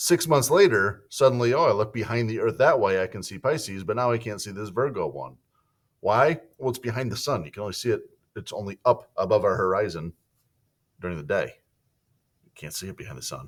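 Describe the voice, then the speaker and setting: In a very clean recording with a silent background, a man talks at a fairly quick pace with big swings in loudness. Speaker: school science teacher. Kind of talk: lecture. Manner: fast; casual.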